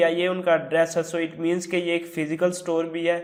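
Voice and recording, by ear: At a moderate pace, a man speaks in a high voice.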